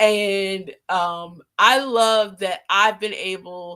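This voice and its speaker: On a very clean recording with a silent background, a woman speaks at a medium pitch in a bright, sharp tone with fairly even intonation. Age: 40s. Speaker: talk show host and author. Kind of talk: live stream talk. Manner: halting, many fillers.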